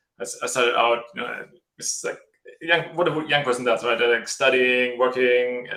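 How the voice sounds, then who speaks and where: With a German accent, a man speaks in a bright, sharp tone at a medium pitch. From Germany. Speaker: tech startup co-founder. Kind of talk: live video interview. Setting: video call. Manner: halting.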